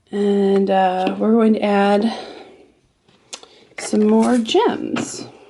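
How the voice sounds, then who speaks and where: A woman speaks at a very slow pace with long, frequent pauses. Audible room echo surrounds her voice. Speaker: crafter. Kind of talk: tutorial. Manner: halting.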